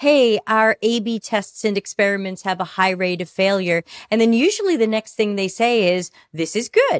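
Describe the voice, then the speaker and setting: In an unremarkable speaking voice, a woman of medium pitch talks at a moderate pace with ordinary pitch variation, the sound dry and close with no echo on a very clean recording with a silent background. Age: 50s. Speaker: customer experience consultant. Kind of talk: casual interview.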